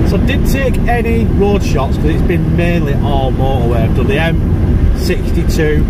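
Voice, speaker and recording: The speaker talks at a fairly slow pace with ordinary pitch variation. Loud background noise fills the dry recording, which has no echo. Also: man. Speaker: vlogger driving. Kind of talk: casual vlog chat. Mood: jokey, relaxed. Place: car. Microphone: phone near.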